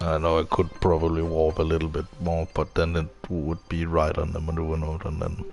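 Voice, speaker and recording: A man's very deep, low voice in a monotone, flat delivery, fairly quick with hardly any pauses, over music in the background. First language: not English. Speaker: video game streamer. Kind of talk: live gameplay commentary. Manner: hesitant, many fillers.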